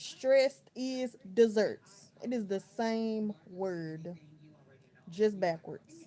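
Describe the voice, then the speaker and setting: At a very slow pace, a woman with a fairly high pitch speaks in a dark, mellow tone with ordinary pitch variation. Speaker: livestreamer. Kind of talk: casual chat. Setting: home bedroom livestream. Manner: relaxed, conversational.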